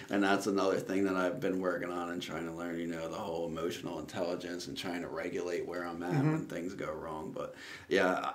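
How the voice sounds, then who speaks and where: A man's very deep, low voice at a very fast pace, with hardly any pauses and fairly even intonation. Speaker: guest. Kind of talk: interview answer. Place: studio. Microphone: studio mic.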